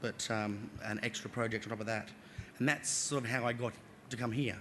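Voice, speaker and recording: The man's delivery is very fast. Fairly even intonation runs through it. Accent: Australian. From Australia, Northern Territory. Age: 30s. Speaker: public servant. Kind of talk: conference talk. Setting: stage with small audience. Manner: hesitant, many fillers.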